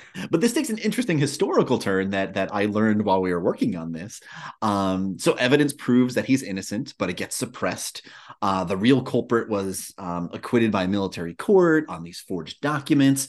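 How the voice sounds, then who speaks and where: Over a quiet background, a man with an unremarkable speaking voice and fairly low pitch talks at a fairly quick pace. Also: lively intonation. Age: 40s. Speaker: podcast host. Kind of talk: casual chat.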